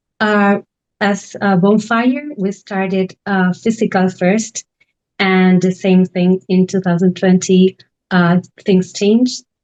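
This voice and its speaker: The speaker has an Argentine accent and talks at a very slow pace. The sound is dry and close, with no echo. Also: woman, medium pitch for a woman, fairly even intonation, very even loudness. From Argentina, Buenos Aires. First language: Spanish. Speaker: artist residency director. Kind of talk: online panel presentation. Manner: halting, many fillers.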